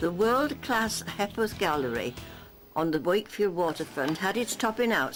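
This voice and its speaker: Over music in the background, a woman speaks at a moderate pace in a fairly low pitch with very wide pitch swings. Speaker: newsreel narrator. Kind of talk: local newsreel narration.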